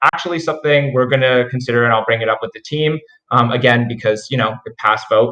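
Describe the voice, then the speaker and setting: This man has a medium pitch with ordinary pitch variation. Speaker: crypto project team member. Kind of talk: project update report.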